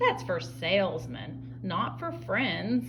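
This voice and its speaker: Over loud background noise, a woman uses a put-on character voice. It is very deep and low, delivered at a very slow pace. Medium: read story. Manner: gruff.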